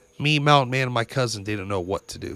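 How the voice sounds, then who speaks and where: His tone is bright and sharp. The man's pitch rises and falls in an ordinary way. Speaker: podcast host. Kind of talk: ghost story telling, first-person spooky tale. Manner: casual, conversational storyteller; animated, building suspense.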